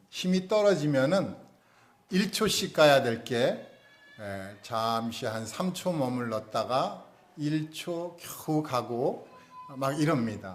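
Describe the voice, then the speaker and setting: At a very slow pace, a man with a fairly high pitch makes very wide pitch swings and big swings in loudness, with audible room echo. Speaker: pastor. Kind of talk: sermon. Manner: slow, unhurried.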